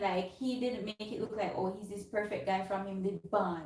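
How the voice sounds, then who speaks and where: A woman talks in a somewhat breathy voice. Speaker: vlogger. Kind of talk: casual chat.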